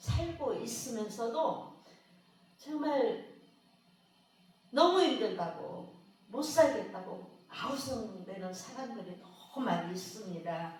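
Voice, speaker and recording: Through audible room echo and noticeable background noise, a woman with a fairly high voice speaks very slowly, her pitch swinging very widely. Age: 60s. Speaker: preacher. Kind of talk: sermon.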